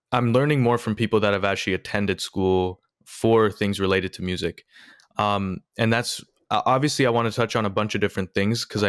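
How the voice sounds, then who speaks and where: Fairly quick and fairly even in intonation, a plain, everyday voice comes through a very clean recording with a silent background and a dry, close sound free of echo. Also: man. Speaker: podcast host. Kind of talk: casual interview chat.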